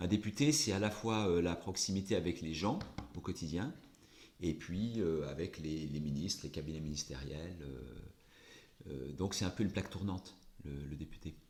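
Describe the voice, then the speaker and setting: With long, frequent pauses, a man speaks at a moderate pace in a very deep, low voice with vocal fry and ordinary pitch variation. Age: 60s. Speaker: politician. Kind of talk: interview. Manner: hesitant, many fillers.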